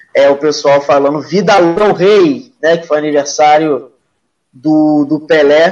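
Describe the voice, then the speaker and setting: Music plays in the background while a man talks at a fairly high pitch. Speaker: sports show host. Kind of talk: casual chat about football. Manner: informal, animated.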